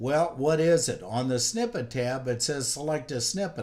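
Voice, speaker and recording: A man talks at a moderate pace with ordinary pitch variation in a plain, everyday voice. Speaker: software instructor. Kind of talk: tutorial.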